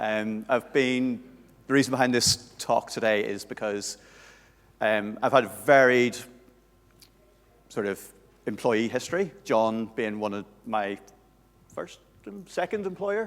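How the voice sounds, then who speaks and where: At a fairly slow pace, a man with a Northern Irish accent speaks at a medium pitch with ordinary pitch variation and long, frequent pauses. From Northern Ireland. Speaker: conference speaker, SEO manager. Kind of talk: conference talk. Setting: stage with audience.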